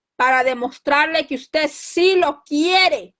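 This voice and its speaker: Loud and high-pitched, a woman speaks with a bright, sharp tone and ordinary pitch variation. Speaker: lay preacher. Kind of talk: sermon.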